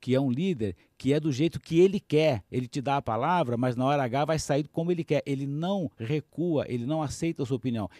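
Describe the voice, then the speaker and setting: A man with a fairly high pitch and a dark, mellow tone talks at a fairly quick pace with hardly any pauses, in a dry, close sound with no echo. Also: ordinary pitch variation, very clean recording, silent background. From Brazil, Minas Gerais. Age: 60s. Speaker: business executive and coach. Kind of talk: radio interview. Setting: studio.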